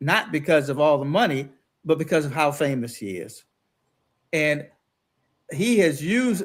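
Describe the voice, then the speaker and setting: A fairly high-pitched man at a fairly slow pace, ordinary pitch variation, on a very clean recording with a silent background. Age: 60s. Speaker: former local politician, guest co-host. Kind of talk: political talk show discussion.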